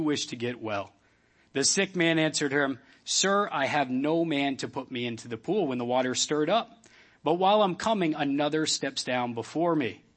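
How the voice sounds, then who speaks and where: A man speaks in a plain, everyday voice at a fairly quick pace. His pitch is fairly high, with ordinary variation. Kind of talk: sermon. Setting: church. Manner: casual, warm, humorous.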